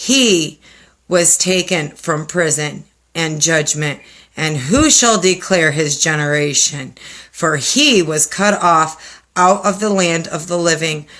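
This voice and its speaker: A woman puts on a raspy character voice, fairly low in pitch, and speaks at a fairly slow pace. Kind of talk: sermon and scripture reading. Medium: game stream. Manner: earnest, fervent.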